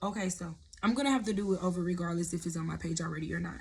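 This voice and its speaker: In a room with audible echo, a woman speaks in a fairly low, somewhat breathy voice. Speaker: prophetic content creator. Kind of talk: sermon-style vlog. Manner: casual, conversational.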